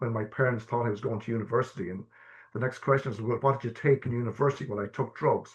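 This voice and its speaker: A man's somewhat breathy, very fast delivery in an Irish accent, with fairly even intonation. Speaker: person who stammers, guest speaker. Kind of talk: personal testimony in a webinar. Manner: halting, many fillers and repetitions.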